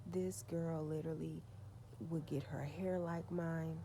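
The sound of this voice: A soft-spoken woman talks slowly in a low pitch with vocal fry. Her pitch barely moves.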